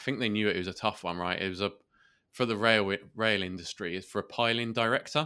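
Someone talks at a very fast pace in a southern English accent, with a bright, sharp tone. The recording is very clean, with a silent background. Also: man, fairly low pitch for a man, ordinary pitch variation. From southeast England, Kent. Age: 30s. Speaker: podcast host and entrepreneur. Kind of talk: interview. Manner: hesitant, many fillers.

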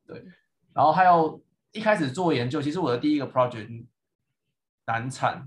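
A man speaking at a fairly quick pace, his voice somewhat breathy. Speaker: PhD graduate, podcast co-host. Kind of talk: casual chat.

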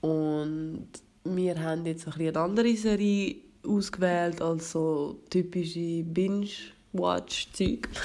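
At a very slow pace, a woman talks in a fairly low, dark, mellow voice with ordinary pitch variation. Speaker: podcast host. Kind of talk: casual chat.

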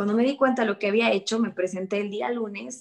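A woman with an unremarkable speaking voice talks at a medium pitch with fairly even intonation. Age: 20s. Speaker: real estate agent. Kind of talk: interview.

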